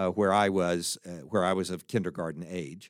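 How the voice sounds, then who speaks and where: With an American accent, a man is heard on a very clean recording with a silent background. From Texas, Fort Worth. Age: 60s. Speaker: college president and pastor. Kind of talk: solo monologue podcast.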